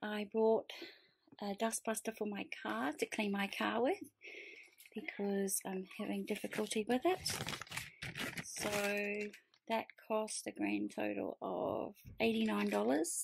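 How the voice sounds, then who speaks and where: A woman speaks at a very slow pace, leaving long, frequent pauses. Noticeable background noise can be heard. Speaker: vlogger. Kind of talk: casual vlog chat. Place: home room. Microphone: phone near.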